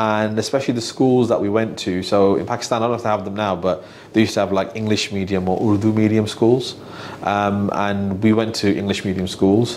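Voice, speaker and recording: A man speaks at a fairly quick pace in a fairly low pitch, his intonation monotone and flat, with noticeable background noise and audible room echo. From Birmingham, England (early years Manchester, Islamabad). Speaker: financial adviser, business owner. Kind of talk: podcast interview. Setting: office. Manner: hesitant, many fillers and repeats.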